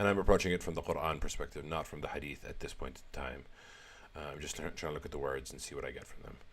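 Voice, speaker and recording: A man speaks with an Arabic accent and some vocal fry. His pitch varies in an ordinary way. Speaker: religious text commentator. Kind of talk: religious commentary. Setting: live stream. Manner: halting.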